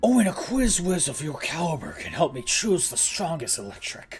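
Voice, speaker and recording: A put-on character voice sits at a middle pitch and moves at a moderate pace. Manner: breathy, talking while exhaling.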